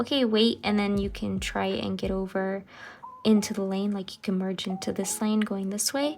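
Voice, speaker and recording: A woman with a fairly high-pitched voice talks while noticeable background noise is heard. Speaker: journaling YouTuber. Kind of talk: casual chat. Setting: at home. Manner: slow, deliberate; hesitant, many fillers.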